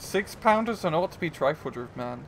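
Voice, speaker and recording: A man with an unremarkable speaking voice talks at a moderate pace, his intonation lively. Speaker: game commentator. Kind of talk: live commentary.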